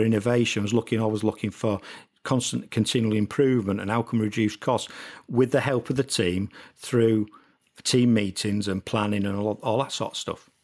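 A man speaks at a moderate pace in an unremarkable speaking voice, medium in pitch. The recording is very clean, with a silent background. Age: 40s. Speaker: entrepreneur. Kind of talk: casual chat.

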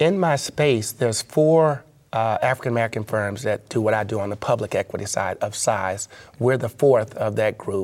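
Speaking with a Memphis accent, a man keeps a moderate pace, a medium pitch and ordinary pitch variation. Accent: Southern US (Memphis). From US South, Memphis, Tennessee. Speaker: asset management executive. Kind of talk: interview.

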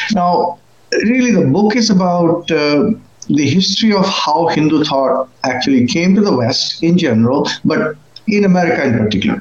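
A man talks at a moderate pace and high pitch with lively intonation and very even loudness, over noticeable background noise. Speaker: author. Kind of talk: interview.

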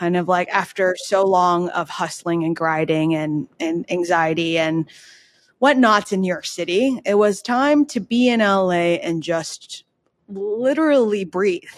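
A woman with a medium-pitched, plain, everyday voice talks at a fairly slow pace. The recording is very clean, with a silent background. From Canada. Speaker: startup executive. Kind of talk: interview.

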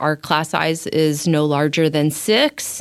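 A woman speaks in an ordinary speaking voice, fairly low in pitch and at a fairly slow pace. The recording is very clean, with a silent background and a dry, close sound with no echo. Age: 50s. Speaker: speech and language pathologist. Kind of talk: interview.

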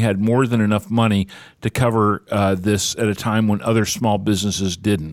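A man's fairly low-pitched, normal speaking voice at a fairly quick pace, dry and close with no echo, on a very clean recording with a silent background. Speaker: radio co-host. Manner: conversational, easygoing co-host chatter.

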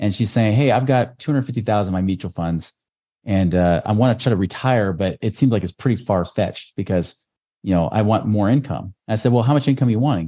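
Against a quiet background, a man speaks very fast at a fairly low pitch, his tone dark and mellow and his pitch varying in an ordinary way. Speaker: real estate investor and former financial advisor. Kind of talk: casual interview.

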